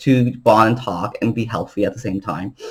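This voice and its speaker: A man talks in an animated tone at a moderate pace with ordinary pitch variation. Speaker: vlogger. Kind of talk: casual monologue to camera. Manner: loud.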